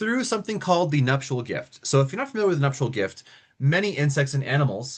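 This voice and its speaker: This man talks at a very fast pace with a fairly high pitch. His voice is somewhat breathy, and his pitch swings very widely. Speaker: lecturer on monarch biology. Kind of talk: lecture. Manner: animated.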